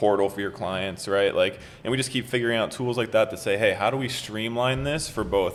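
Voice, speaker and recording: An unremarkable speaking voice from a man, at a moderate pace with ordinary pitch variation. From Los Angeles, California. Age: 20s. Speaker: entrepreneur. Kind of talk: interview answer.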